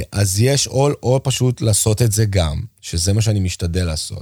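This man has a fairly low voice with a dark, mellow tone and a somewhat breathy quality. His pitch moves in an ordinary way. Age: 40s. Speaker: drummer. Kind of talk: casual chat. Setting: school room on location.

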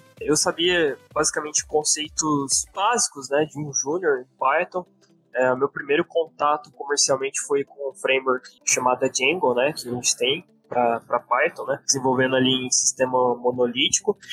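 Music plays in the background as a man with a fairly high pitch speaks in a dry, close sound with no echo. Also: ordinary pitch variation, moderate pace. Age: 20s. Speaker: back-end software developer. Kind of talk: podcast interview.

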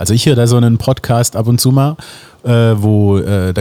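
Dark, mellow tone at a moderate pace with ordinary pitch variation, on a very clean recording with a silent background. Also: man. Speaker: drummer and singer. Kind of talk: casual chat.

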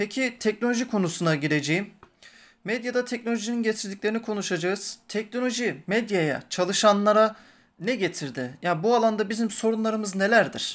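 A man speaks at a high pitch and fairly quick pace with ordinary pitch variation. The recording is very clean, with a silent background. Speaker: podcast host, journalism student. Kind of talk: interview.

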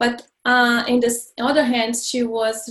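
A woman speaks in a high pitch with flat, monotone intonation and a Brazilian accent. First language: Portuguese. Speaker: life coach and healer. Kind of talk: interview, casual chat.

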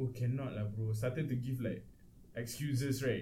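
With a Malaysian accent, a man speaks at a medium pitch, and audible room echo surrounds his voice. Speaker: podcast co-host. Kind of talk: casual chat.

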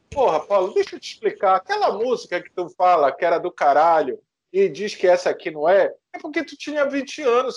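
With very wide pitch swings, a man keeps to a moderate pace. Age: 40s. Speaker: podcast host. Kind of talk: casual chat.

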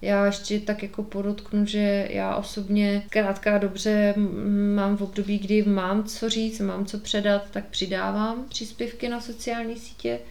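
A woman's medium-pitched voice, very slow and monotone with flat intonation, over noticeable background noise. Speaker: podcast host. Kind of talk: solo monologue podcast.

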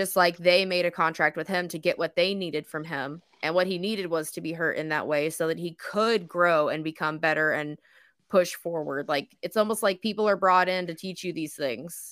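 In a very clean recording with a silent background, a woman with a plain, everyday voice speaks at a fairly low pitch with fairly even intonation. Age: 30s. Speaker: podcast host. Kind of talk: casual chat. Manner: joking.

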